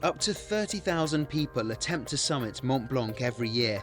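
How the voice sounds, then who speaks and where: A man talks with lively intonation while music plays behind him. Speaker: news reporter / narrator. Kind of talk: news report voiceover.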